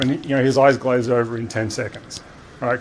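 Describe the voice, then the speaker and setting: A man with an American accent at medium pitch, talking very fast with fairly even intonation over noticeable background noise. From Australia. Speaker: security architect, conference speaker. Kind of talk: conference presentation. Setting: conference room with live audience. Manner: casual, conversational.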